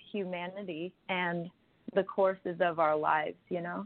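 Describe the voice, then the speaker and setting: In an ordinary speaking voice, a woman talks with an American accent and fairly even intonation. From US Midwest. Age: 20s. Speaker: singer-songwriter. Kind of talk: casual interview. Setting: radio interview.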